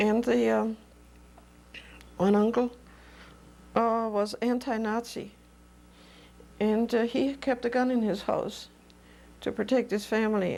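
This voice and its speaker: A woman with a German accent speaks at a fairly slow pace in a fairly high pitch. Her tone is dark and mellow and her intonation fairly even. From Germany. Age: 70s. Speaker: oral history interviewee. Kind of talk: oral history interview. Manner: halting.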